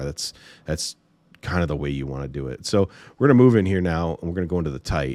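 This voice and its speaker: This man's pitch is very deep and low, with lively intonation at a fairly quick pace. The recording is very clean with a silent background, and the sound is dry and close with no echo. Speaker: football film breakdown commentator. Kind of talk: tutorial. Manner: casual, some stammering.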